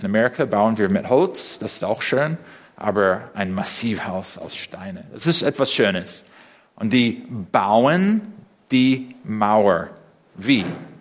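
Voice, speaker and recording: A man speaks very slowly with an English accent. His pitch swings very widely. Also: very clean recording, silent background. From USA. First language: English (speaking German). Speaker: preacher. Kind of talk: sermon. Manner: halting.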